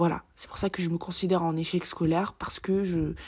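Monotone, flat intonation from a woman pitched fairly low. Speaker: student podcaster. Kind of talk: personal monologue. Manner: halting. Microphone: poor microphone quality.

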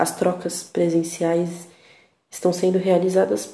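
A woman with a São Paulo accent speaks at a fairly slow pace in a medium pitch with a dark, mellow tone, and the room echo is audible. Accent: São Paulo (paulista). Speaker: podcaster. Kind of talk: personal monologue. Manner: reflective.

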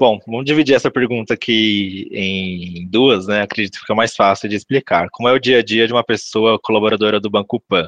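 A man with an ordinary speaking voice talks at a fairly quick pace, fairly low in pitch, with hardly any pauses. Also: fairly even intonation. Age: 20s. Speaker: recruitment analyst. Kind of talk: podcast interview.

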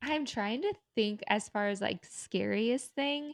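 In a dry, close sound with no echo and a quiet background, a woman with an American accent uses a normal speaking voice, a fairly high pitch and lively intonation at a fairly slow pace. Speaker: podcast co-host. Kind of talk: casual chat.

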